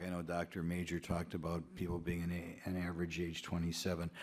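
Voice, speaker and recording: A man's very deep, low voice moves at a fairly quick pace, captured in a very clean recording against a silent background. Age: 60s. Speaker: congressman. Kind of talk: congressional hearing questioning. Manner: halting, many fillers.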